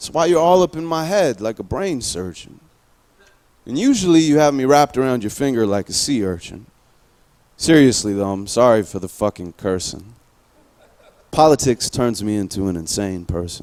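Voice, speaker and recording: A man's medium-pitched voice with very wide pitch swings and long, frequent pauses. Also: moderate pace. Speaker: spoken-word poet. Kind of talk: slam poetry performance.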